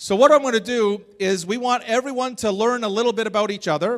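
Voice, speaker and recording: Animated in tone and fairly quick in pace, this speaker talks with a Canadian accent and ordinary pitch variation. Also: man. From Canada. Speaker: motivational speaker. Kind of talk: interactive talk to audience.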